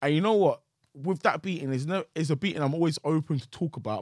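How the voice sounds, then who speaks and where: A man talks at a fairly quick pace with a London accent. The sound is dry and close, with no echo. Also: very clean recording, silent background. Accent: London (multicultural London English). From Nigerian family, raised in London. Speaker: comedian and content creator. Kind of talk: casual interview about personal story.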